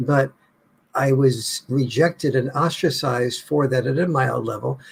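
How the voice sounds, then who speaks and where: Speaking with an American accent, a man with a medium pitch and ordinary pitch variation talks at a moderate pace in a somewhat breathy voice. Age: 70s. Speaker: author. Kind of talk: interview.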